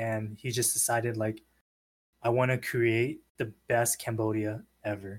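A man speaks with a Californian accent at a medium pitch, somewhat breathy. His delivery is fairly slow, with monotone, flat intonation. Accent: Californian American English. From San Diego, Southern California. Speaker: podcast guest. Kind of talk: casual chat.

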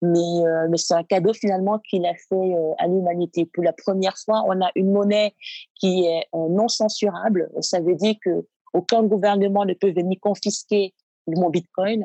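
A woman speaks at a fairly slow pace in a monotone, flat manner, with very even loudness. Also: medium pitch for a woman. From Cameroon, Douala. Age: 30s. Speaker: data scientist and startup incubator founder. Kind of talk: casual interview.

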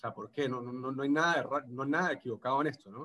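A man with a Venezuelan Andean accent talks at a fairly quick pace. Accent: Venezuelan Andean (gocho). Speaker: postdoctoral researcher. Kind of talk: casual interview. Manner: halting, many repetitions and fillers.

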